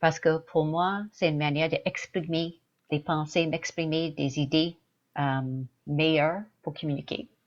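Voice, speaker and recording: A woman with a very deep, low voice speaks at a fairly slow pace, keeping her intonation fairly even. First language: English (speaking French). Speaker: dancer. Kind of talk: interview. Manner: halting.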